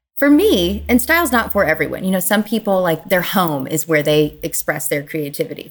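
A woman with an American accent speaks in a normal speaking voice at a fairly quick pace, her fairly low pitch carried by lively intonation. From US South, Kentucky. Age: 40s. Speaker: clothing brand founder. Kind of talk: casual interview.

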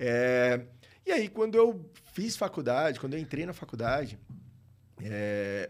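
There's a very clean recording with a silent background as a man speaks at a fairly slow pace, with very wide pitch swings and long, frequent pauses. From Brazil, Maceió, Alagoas. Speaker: tax lawyer. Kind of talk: casual interview.

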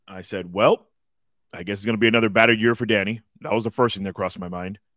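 Using a plain, everyday voice, a man talks at a medium pitch with fairly even intonation. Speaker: podcast co-host. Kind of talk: casual sports chat.

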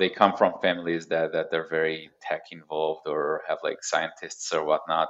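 Here a man talks at a moderate pace. He takes hardly any pauses. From Israel; Haifa, northern Israel. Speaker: security researcher. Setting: remote call from the Pacific Northwest. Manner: halting, repeats words.

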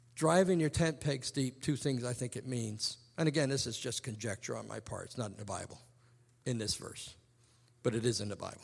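An unremarkable speaking voice from a man, mid-range in pitch, fairly quick in pace, its pitch varying in the ordinary way. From England, moved to Hampton, Virginia at ten. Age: 50s. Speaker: preacher, ministry president. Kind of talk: sermon. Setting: chapel service with student audience.

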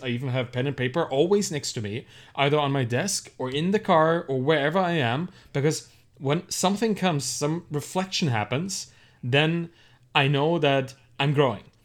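On a very clean recording with a silent background, a man speaks in a German accent at a fairly high pitch with ordinary pitch variation. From Germany. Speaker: entrepreneur and author. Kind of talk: casual interview.

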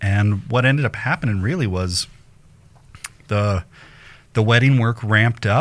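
A man with a General American accent speaks at a moderate pace, his pitch medium with ordinary variation. He leaves long, frequent pauses. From Colorado, Denver suburbs. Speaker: photographer and entrepreneur. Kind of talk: casual interview chat. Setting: live-streamed video show.

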